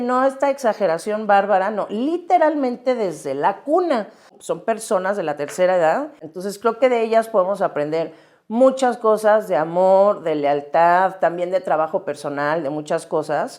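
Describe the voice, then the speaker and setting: Against a quiet background, a woman talks at a fairly slow pace, her medium pitch moving in very wide swings. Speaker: podcast host. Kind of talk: podcast interview questions. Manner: casual, conversational.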